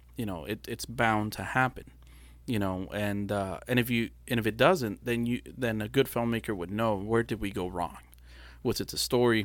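On a very clean recording with a silent background, a man speaks at a moderate pace in a fairly low pitch with ordinary variation. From Brownsville, Texas and Matamoros, Mexico. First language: Spanish. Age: 40s. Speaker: film and commercial producer. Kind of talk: casual interview chat. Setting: studio.

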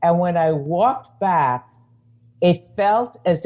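A woman speaks with a New York accent. Her pace is very slow and her tone dark and mellow. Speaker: psychologist and coach. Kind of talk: interview conversation.

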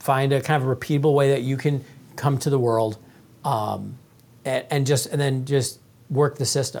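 It is a plain, everyday voice. The pace is moderate. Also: man. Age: 40s. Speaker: author and sales coach. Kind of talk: casual interview.

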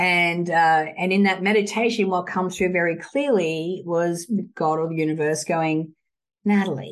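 A woman speaks at a fairly slow pace with an Australian accent and ordinary pitch variation. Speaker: author and entrepreneur. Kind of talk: casual interview chat.

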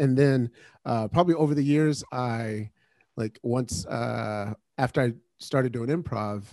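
Recorded dry and close with no echo, a man with an unremarkable speaking voice speaks at a fairly slow pace with ordinary pitch variation. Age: 40s. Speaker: comedian and producer. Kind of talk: casual chat. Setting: home basement, remote.

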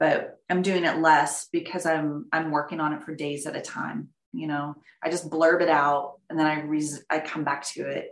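Speaking at a moderate pace with fairly even intonation, a woman with an American accent has a very deep, low pitch. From Texas, near Dallas. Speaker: painter. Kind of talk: interview.

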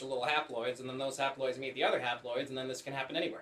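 A man speaks at a fairly high pitch. Background noise is noticeable. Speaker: podcast co-host. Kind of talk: casual chat. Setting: same room as co-host.

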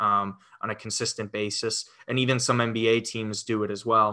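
A man speaks with a New York accent in a bright, sharp tone at medium pitch. His intonation stays fairly even against a quiet background. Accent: New York area American. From Westchester, New York. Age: 20s. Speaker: sports fan guest. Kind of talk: casual sports chat.

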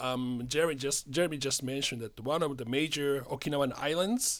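On a very clean recording with a silent background, a man with a Japanese accent speaks at a moderate pace with a fairly high pitch and ordinary pitch variation. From Japan, Tokyo. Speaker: spirits importer. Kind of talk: casual chat. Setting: studio.

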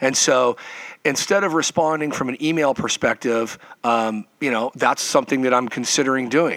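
With an American accent, a man speaks at a moderate pace and a medium pitch, with ordinary pitch variation. The recording is dry and close, with no echo. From Nevada, Lake Tahoe. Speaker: parent of a student athlete. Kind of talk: podcast interview. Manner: hesitant, many fillers.

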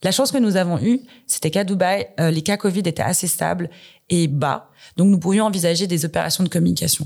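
The speaker goes at a fairly quick pace with vocal fry and ordinary pitch variation. Loudness stays very even. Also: woman, fairly low pitch for a woman. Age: 30s. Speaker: corporate communications director. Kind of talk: interview.

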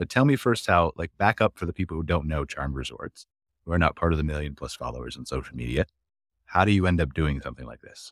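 A man with a Canadian accent talks at a very fast pace, his very deep, low voice carrying vocal fry and lively intonation. The sound is dry and close, with no echo. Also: big swings in loudness, very clean recording, silent background. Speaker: podcast host and company founder. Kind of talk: casual panel chat. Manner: animated, enthusiastic.

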